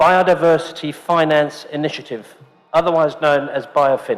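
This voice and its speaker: With a British accent, this man talks at a moderate pace in a high pitch, his pitch varying in an ordinary way. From UK. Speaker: event host, forum co-founder. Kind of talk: event introduction.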